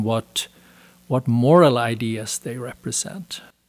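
The speaker is a man with a Swedish accent and a medium pitch. The sound is dry and close, with no echo. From Sweden. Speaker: author. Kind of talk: interview.

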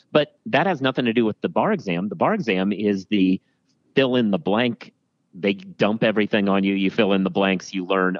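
With an American accent and a fairly low pitch, a man with an unremarkable speaking voice talks at a fairly quick pace using ordinary pitch variation. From US Midwest (Iowa, Wisconsin), then Oregon. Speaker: legal news editor and former lawyer. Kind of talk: casual interview. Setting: remote recording from home office.

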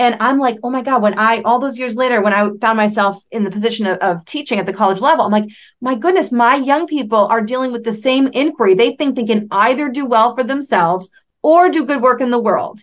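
Here is a woman with an unremarkable speaking voice, pitched fairly high. She talks at a fairly quick pace with ordinary pitch variation. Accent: American. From central Massachusetts. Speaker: entrepreneur. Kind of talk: interview conversation.

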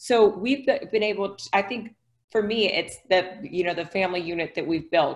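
A woman with an unremarkable speaking voice in an American accent, at a medium pitch and a moderate pace with ordinary pitch variation. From Ohio, US Midwest. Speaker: author. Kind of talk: podcast interview.

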